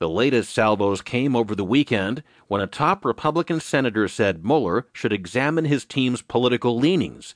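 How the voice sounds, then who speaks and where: A man's normal speaking voice with lively intonation, recorded dry and close with no echo against a quiet background. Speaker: newsreader narrator. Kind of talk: news reading, audio digest of newspaper stories. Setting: studio. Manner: formal, even and measured; steady, neutral, briskly paced.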